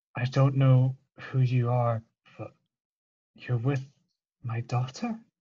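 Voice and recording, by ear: Putting on a character voice, a man speaks at a medium pitch in a strained, monotone, flat way, at a fairly slow pace with long, frequent pauses.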